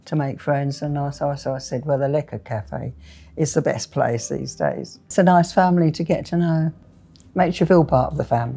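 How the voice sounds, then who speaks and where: A woman speaks with vocal fry at a very deep, low pitch in a dark, mellow tone. Her pace is moderate and her pitch variation ordinary, on a very clean recording with a silent background. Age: 80s+. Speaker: cafe customer, retiree. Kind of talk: documentary interview.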